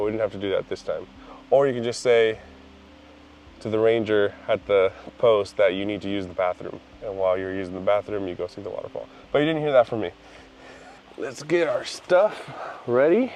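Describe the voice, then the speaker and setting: Over noticeable background noise, a man talks at a fairly quick pace, broken by long, frequent pauses. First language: not English. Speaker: photography vlogger. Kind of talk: casual vlog. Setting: outdoors.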